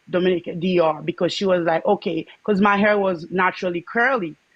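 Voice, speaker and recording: A woman with a Haitian accent talks at a fairly quick pace in a medium pitch. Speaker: livestream guest sharing dating experiences. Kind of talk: personal testimony in casual chat. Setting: livestream call-in.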